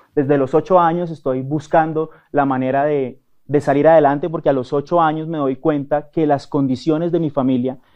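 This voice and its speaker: A man's fairly high, monotone voice with flat intonation, at a fairly quick pace. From Colombia, Cali. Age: 30s. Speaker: actor and network marketer. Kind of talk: interview. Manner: hesitant, many fillers.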